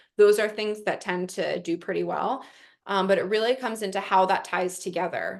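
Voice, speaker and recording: Against a quiet background, a woman with an American accent speaks at a medium pitch with vocal fry. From New York. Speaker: investment platform representative. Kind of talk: webinar presentation. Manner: fast.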